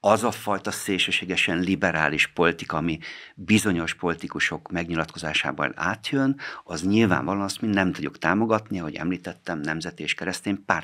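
A man with a very deep, low pitch speaks at a fairly quick pace in a bright, sharp tone. The background is quiet. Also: ordinary pitch variation. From Hungary. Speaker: politician, member of parliament; politician. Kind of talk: radio interview answering listener questions. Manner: formal. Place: studio. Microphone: studio mic.

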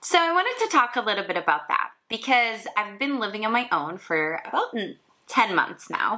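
In a quiet background, a woman's voice moves through very wide pitch swings. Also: moderate pace. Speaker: motivational lifestyle vlogger. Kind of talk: casual talk to camera. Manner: informal, improvised. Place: home room. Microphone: camera far.

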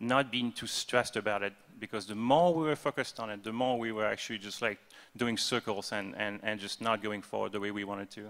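A man with a French accent speaks in a fairly low, bright, sharp voice with fairly even intonation. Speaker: game developer, art/design lead; panelist. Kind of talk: convention panel talk. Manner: halting, many fillers and repetitions. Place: hall.

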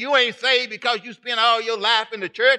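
A raised, projected voice in a Southern US accent, bright and sharp in tone, at a fairly quick pace over a quiet background. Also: man. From Texas. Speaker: pastor. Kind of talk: sermon. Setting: church. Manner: animated. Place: church. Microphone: podium.

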